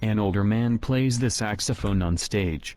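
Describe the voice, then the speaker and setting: Here a man uses a put-on character voice with fairly low pitch. He keeps a moderate pace. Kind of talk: audio description. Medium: video game. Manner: flat, even.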